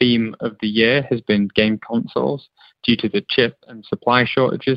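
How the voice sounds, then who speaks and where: Here a man with a normal speaking voice talks at medium pitch with ordinary pitch variation. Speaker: tech executive. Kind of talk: interview explanation.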